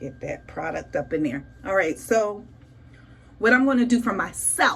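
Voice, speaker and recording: With an animated tone and very wide pitch swings, a woman speaks at a medium pitch amid audible room echo. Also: moderate pace. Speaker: beauty vlogger. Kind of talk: casual tutorial vlog. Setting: home bathroom.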